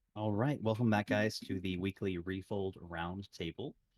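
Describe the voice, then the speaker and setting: An unremarkable speaking voice belongs to a man with a fairly low pitch. He talks at a moderate pace in a dry, close sound with no echo. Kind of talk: podcast host introduction.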